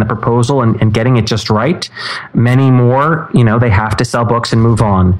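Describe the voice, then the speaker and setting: With an American accent, a man speaks at a moderate pace and medium pitch, his intonation fairly even over noticeable background noise. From New York City, Manhattan. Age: 30s. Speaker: former book editor. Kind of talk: interview.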